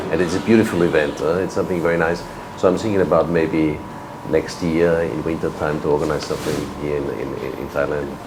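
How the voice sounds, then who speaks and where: A man with a German accent, very deep and low-pitched, at a fairly quick pace in a flat monotone, with audible room echo and noticeable background noise. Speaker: ambassador. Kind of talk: interview. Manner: halting, many repeats and fillers.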